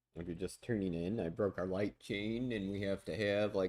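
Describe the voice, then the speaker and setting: A man with an American accent talks at a fairly quick pace, his fairly low pitch held in fairly even intonation. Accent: Southern US accent, comes out at times. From US South. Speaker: streamer and music producer. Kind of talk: casual livestream chat.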